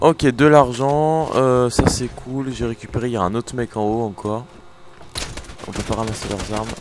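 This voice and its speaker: The speaker talks at a moderate pace with ordinary pitch variation and long, frequent pauses. Noticeable background noise is present. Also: man. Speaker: gaming youtuber. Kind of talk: let's play commentary. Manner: casual, animated.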